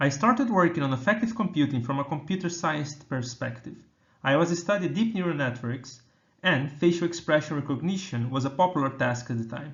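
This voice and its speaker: A somewhat breathy man with a Brazilian accent, fairly high in pitch, with lively intonation. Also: fairly quick pace. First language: Portuguese. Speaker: computer scientist researcher. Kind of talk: keynote talk.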